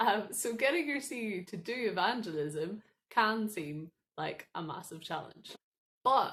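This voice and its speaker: A woman speaks with a Northern Irish accent. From Northern Ireland. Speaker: student ministry staff worker. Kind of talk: recorded training talk.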